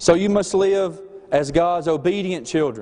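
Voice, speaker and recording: Noticeable background noise and audible room echo surround a man speaking with a slight Southern US accent. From Alabama. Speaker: student preacher. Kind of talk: sermon. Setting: chapel service.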